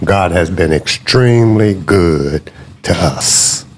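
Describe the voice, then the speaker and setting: Noticeable background noise sits behind a man whose pitch shows ordinary variation. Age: 60s. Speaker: pastor. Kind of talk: interview.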